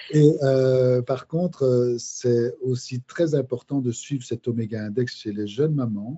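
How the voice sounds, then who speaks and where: A very slow-paced man at medium pitch, with fairly even intonation and hardly any pauses. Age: 60s. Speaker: biochemist and micronutrition specialist. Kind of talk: podcast interview. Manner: halting, many hesitations.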